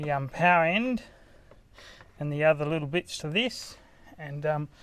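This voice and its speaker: A bright, sharp voice in an Australian accent, with ordinary pitch variation and a very clean recording against a silent background. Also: man. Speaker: DIY car audio vlogger. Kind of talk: tutorial. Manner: fast; hesitant, many fillers.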